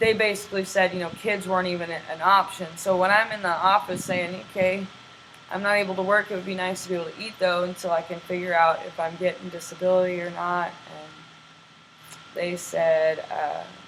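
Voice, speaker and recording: Against noticeable background noise, the speaker goes at a fairly quick pace with monotone, flat intonation. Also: woman, medium pitch for a woman. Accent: American. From Texas. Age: 30s. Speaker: homeless traveler. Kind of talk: interview. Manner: halting.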